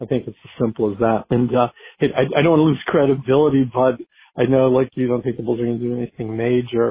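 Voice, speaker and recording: At a medium pitch, a man speaks with fairly even intonation in a normal speaking voice. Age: 60s. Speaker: listener caller. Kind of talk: voicemail.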